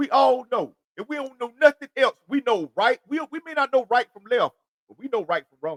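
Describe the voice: A man with an extremely high pitch talks at a moderate pace, in a dry, close sound with no echo.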